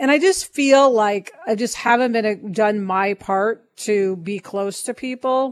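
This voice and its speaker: A woman with a plain, everyday voice speaks at a fairly high pitch, with ordinary pitch variation and hardly any pauses. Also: fairly slow pace. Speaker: podcast co-host, writer and producer. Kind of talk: casual co-hosted podcast chat.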